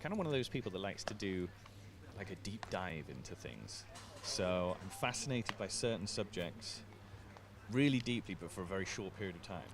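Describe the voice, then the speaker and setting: At a fairly quick pace, a man with an English accent and vocal fry speaks at a fairly low pitch with ordinary pitch variation. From England. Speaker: sports commentator. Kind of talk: live commentary and casual chat. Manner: casual, conversational.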